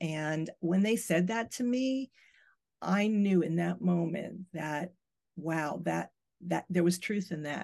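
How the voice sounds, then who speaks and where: Over a quiet background, a woman with an American accent and a fairly low pitch uses a normal speaking voice at a moderate pace with ordinary pitch variation. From the Bronx, New York. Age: 60s. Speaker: tarot reader and channeler. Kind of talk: casual interview conversation.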